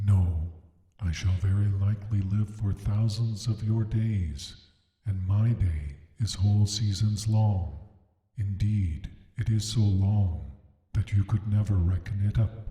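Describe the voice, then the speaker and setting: A man uses a put-on character voice at a fairly low pitch. He goes at a fairly slow pace, with a slight echo. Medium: read story. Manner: slow, gentle, kindly.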